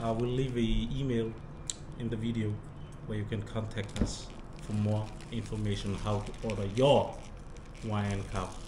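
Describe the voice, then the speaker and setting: A man speaks in a monotone, flat intonation with long, frequent pauses amid noticeable background noise. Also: fairly low pitch for a man, moderate pace. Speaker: vlogger presenting a sponsor product. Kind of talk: casual vlog sponsor talk. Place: home room. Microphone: camera far.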